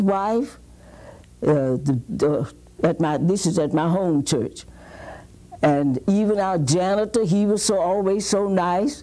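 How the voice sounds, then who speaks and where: A woman speaks at a very slow pace with long, frequent pauses. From Mississippi. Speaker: retired teacher. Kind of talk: interview answer. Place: studio.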